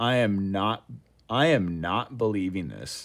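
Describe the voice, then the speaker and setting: A man puts on a nasal character voice at a fairly low pitch. He moves at a fairly slow pace with lively intonation. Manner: incredulous.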